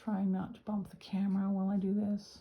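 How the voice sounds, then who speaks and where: A somewhat breathy voice with a dark, mellow tone. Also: woman. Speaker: fountain pen hobbyist. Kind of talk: casual talk to camera.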